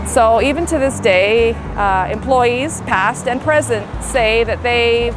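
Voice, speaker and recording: Behind a woman's speech, music can be heard. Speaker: local historian. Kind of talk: walking tour narration to camera. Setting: outdoors. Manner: casual, storytelling.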